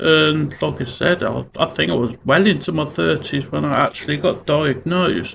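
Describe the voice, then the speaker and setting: At a moderate pace and with hardly any pauses, a man speaks in a Brummie accent. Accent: Brummie (Birmingham). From Birmingham, England. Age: 40s. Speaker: vlogger on mental health. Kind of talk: personal vlog monologue. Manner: halting, many fillers.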